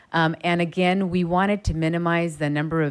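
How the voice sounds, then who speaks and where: On a very clean recording with a silent background, a woman speaks at a moderate pace in a very deep, low pitch. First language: not English. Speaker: redistricting commissioner. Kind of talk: public meeting deliberation.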